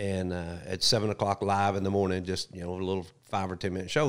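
A man talks at a very fast pace with a Southern US accent. His pitch is fairly low. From US South. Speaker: retired wildlife agency spokesman. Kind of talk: casual chat. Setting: studio.

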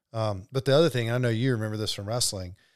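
In a very clean recording with a silent background, a man with an American accent uses a normal speaking voice at a medium pitch with ordinary pitch variation. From US South, Alabama (Birmingham area). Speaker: professional MMA fighter. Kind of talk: casual interview.

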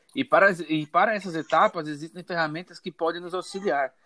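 With a dry, close sound and no echo, a man speaks at a moderate pace in a high pitch. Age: 20s. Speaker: engineering student. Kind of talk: student class presentation.

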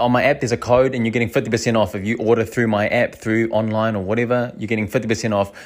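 Medium-pitched speech from a man, recorded very cleanly against total silence. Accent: New Zealand. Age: 30s. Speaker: small business owner. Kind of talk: casual monologue. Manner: animated.

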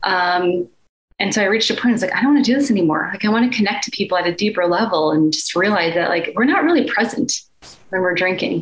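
The speech comes at a very fast pace with an American accent and very even loudness. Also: woman, medium pitch for a woman, lively intonation. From Chicago, US Midwest. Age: 30s. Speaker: life and energy coach. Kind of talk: casual interview chat.

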